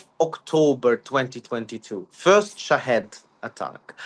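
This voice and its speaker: A man at a fairly slow pace, with very wide pitch swings. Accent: Ukrainian. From Ukraine. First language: Ukrainian. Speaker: security analyst. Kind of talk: interview. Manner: halting, many fillers.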